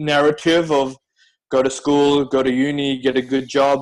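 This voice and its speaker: Moderately paced, a man speaks with an Australian accent. His intonation is monotone and flat. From Australia, Melbourne. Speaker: team member of a digital nomad program, former investment consultant. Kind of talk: personal story in online meetup.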